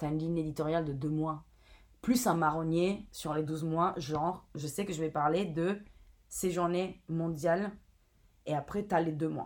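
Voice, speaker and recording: Long, frequent pauses break up a woman's fairly slow speech, delivered at a fairly low pitch with fairly even intonation. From Italy. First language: Italian (speaking French). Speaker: brand content and community manager. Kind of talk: interview. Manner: casual, with fillers.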